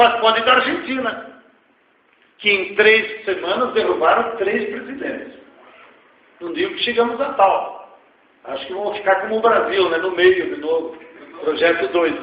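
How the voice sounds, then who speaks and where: A man's high-pitched voice at a fairly slow pace, with very wide pitch swings and long, frequent pauses. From Rio Grande do Sul, Brazil. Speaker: economist and social activist. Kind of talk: lecture Q&A answer. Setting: university auditorium. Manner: informal, blunt.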